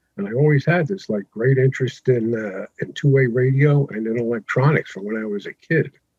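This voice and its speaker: A man talks fairly quickly, with hardly any pauses, in a somewhat breathy voice at medium pitch with ordinary pitch variation. His loudness swings widely, and the sound is dry and close with no echo. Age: 70s. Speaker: retired educator and ham radio operator. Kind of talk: interview.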